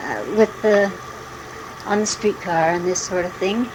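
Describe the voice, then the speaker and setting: A woman speaks with an American accent at a moderate pace, her intonation fairly even. Noticeable background noise runs under her voice. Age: 60s. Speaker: mother recording family memories. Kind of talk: oral history reminiscence. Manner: halting.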